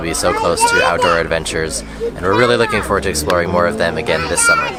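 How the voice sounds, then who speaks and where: With an American accent, a man talks very fast over crowd noise in the background, his voice carrying audible room echo. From United States. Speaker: family travel vlogger. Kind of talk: vlog narration.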